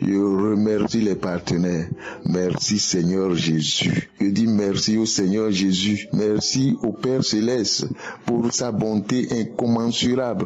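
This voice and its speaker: With music in the background, a man talks at a very slow pace and a fairly low pitch, his intonation fairly even. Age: 70s. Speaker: testimony giver. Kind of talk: testimony.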